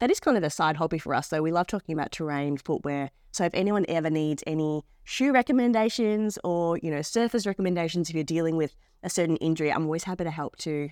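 A woman with an Australian accent at a very fast pace, fairly low in pitch with ordinary pitch variation, dry and close with no echo, on a very clean recording with a silent background. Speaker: podcast host, runner. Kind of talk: casual chat.

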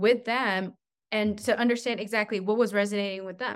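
Her fairly high-pitched voice is an unremarkable speaking voice, and the woman uses ordinary pitch variation. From New Mexico, US (Albuquerque), born in China. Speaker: marketing agency CEO. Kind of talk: interview.

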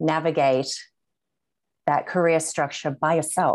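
The background is quiet as a woman speaks at a moderate pace with a slight Australian accent. Her very deep, low pitch stays monotone and flat. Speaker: group coach. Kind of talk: interview.

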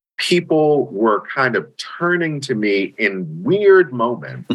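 This man speaks in an American accent. His pitch swings very widely. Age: 50s. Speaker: nonprofit leader and interfaith minister. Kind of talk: interview conversation.

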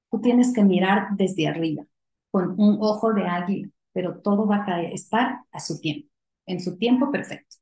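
Somewhat breathy and dark, mellow in tone, a woman's medium-pitched voice moves at a moderate pace with ordinary pitch variation. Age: 40s. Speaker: company CEO. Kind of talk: interview.

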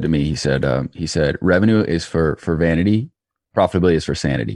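A very deep, low male voice with vocal fry, an American accent and ordinary pitch variation. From US South, Georgia. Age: 20s. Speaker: entrepreneur. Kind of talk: interview.

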